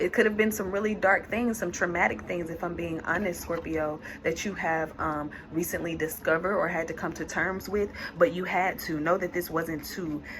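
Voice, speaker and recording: Moderately paced speech from a woman, pitched fairly low, over noticeable background noise. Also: fairly even intonation. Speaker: tarot reader. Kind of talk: tarot reading. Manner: halting, with fillers.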